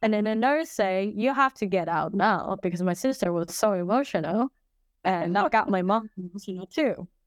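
A woman talks in a normal speaking voice at medium pitch and a moderate pace, with lively intonation. The recording is very clean, with a silent background and a dry, close sound with no echo. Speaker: English teacher and podcaster. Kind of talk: casual interview conversation.

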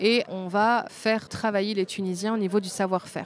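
The intonation is monotone and flat at a moderate pace. The sound is dry and close with no echo, in a very clean recording with a silent background. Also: woman. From Belgium. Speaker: fashion designer and brand founder. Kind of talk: interview. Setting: trade fair.

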